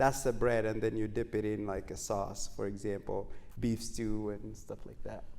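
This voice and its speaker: In a Kenyan accent, the speaker talks at a moderate pace with audible room echo. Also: man. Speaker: running coach and mental health counselor. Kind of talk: talk show interview. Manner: frequent fillers, hesitant.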